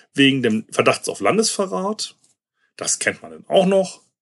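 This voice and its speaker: Pitch swings very widely in this man's voice. He keeps to a moderate pace. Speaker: podcast host. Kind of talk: solo podcast monologue. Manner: sarcastic; hesitant, many fillers.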